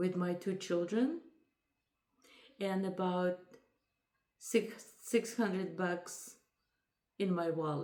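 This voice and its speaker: A woman's very slow, medium-pitched voice with a dark, mellow tone and a non-native accent. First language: not English. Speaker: lifestyle vlogger. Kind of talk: casual chat.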